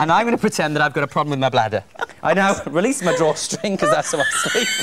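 A man with a high voice talks at a very fast pace, his pitch swinging very widely while his loudness stays very even over noticeable background noise. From Wales. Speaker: TV and radio presenter. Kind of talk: shopping TV product demonstration. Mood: playful, jokey. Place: studio.

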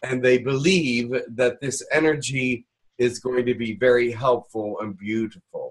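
A man speaks at a fairly slow pace with ordinary pitch variation against a quiet background. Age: 60s. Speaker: channeler and Reiki teacher; Reiki teacher. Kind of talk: online workshop. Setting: video call. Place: home room. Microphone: webcam.

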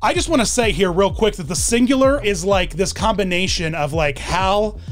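A man speaking, with faint music in the background. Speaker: online video host. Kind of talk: commentary. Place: home room. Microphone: studio mic.

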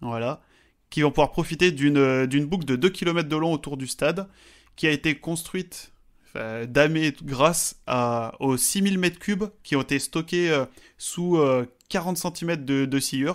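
A man talks with ordinary pitch variation. He has an ordinary speaking voice. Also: fairly high pitch for a man, fairly slow pace, very clean recording, silent background. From French mountains. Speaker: podcast co-host, statistics. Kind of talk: casual chat.

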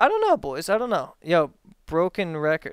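The background is quiet, and the sound is dry with no echo. A man with an American accent talks at a fairly quick pace. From US, Maryland. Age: 20s. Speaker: streamer. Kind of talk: casual chat. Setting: live stream with voice chat. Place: home room. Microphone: headset.

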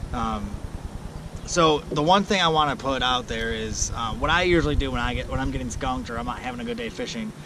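A man speaks at a fairly quick pace and medium pitch, with vocal fry. Clear background noise is heard behind him. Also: lively intonation.

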